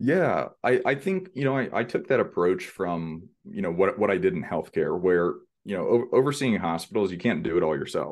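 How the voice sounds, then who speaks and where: Against a quiet background, a man with an American accent speaks at a moderate pace and medium pitch, showing vocal fry and very wide pitch swings. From Texas, Houston. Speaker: real estate investor. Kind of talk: interview.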